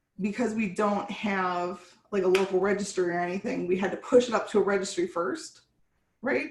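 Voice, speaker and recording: At a fairly quick pace, a woman talks in a medium-pitched voice with ordinary pitch variation. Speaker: software developer. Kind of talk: technical meeting discussion. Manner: halting, stumbling.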